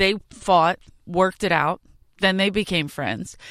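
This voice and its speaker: On a very clean recording with a silent background and a dry, close sound with no echo, a woman of medium pitch speaks in an animated tone with a Philadelphia accent. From South Philadelphia, US. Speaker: stand-up comedian. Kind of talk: casual chat. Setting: studio.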